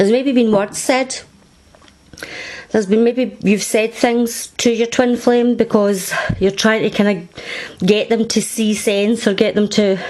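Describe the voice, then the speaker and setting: Noticeable background noise sits under the speech. The delivery is fairly slow, with monotone, flat intonation. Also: woman, fairly high pitch for a woman. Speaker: tarot reader. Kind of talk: tarot reading to camera. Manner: casual, conversational.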